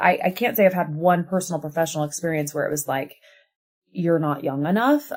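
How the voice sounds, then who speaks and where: A woman speaks in a fairly low pitch with ordinary pitch variation. She has an ordinary speaking voice. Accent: American. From US Midwest. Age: 40s. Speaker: TV host and journalist. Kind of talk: casual chat.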